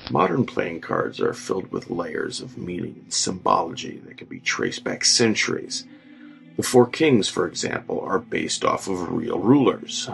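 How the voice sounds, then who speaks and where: Background music runs throughout. The talking goes along somewhat slowly. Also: man. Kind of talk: horror story narration.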